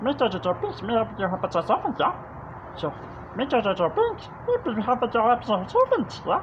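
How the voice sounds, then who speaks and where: Over loud background noise, someone does a put-on character voice at a fairly high pitch and a fairly slow pace. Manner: lumbering, comic.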